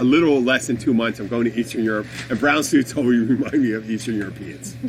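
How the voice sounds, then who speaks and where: A man with an American accent at a very fast pace, with music in the background. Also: medium pitch for a man. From Philadelphia area, US Northeast. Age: 50s. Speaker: podcast host. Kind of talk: casual chat. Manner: animated; halting.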